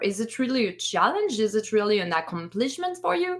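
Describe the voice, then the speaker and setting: This woman speaks with a French accent. Her pitch is fairly high. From France. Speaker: streamer podcast co-host. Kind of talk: casual chat. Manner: animated.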